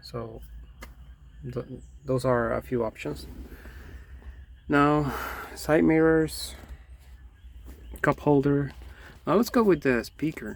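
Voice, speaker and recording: Speaking with a non-native accent, a man goes at a very slow pace with long, frequent pauses. The recording is very clean, with a silent background. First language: not English. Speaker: DIY car vlogger. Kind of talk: tutorial. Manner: halting; casual.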